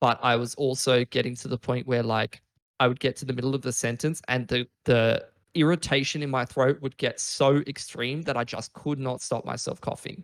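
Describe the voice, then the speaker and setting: An ordinary speaking voice with fairly even intonation and a dry, close sound with no echo. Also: man, medium pitch for a man, moderate pace. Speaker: esports shoutcaster. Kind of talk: interview answer. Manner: casual, profane.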